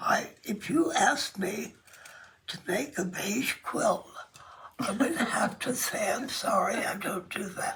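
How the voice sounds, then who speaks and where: With noticeable background noise, a woman speaks at a very slow pace in a high pitch, her voice swinging very widely in pitch. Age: 90s. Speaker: quilt artist. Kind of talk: casual interview. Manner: hesitant, with frequent fillers.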